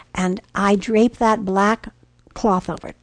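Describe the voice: Fairly even intonation in a plain reading-aloud delivery.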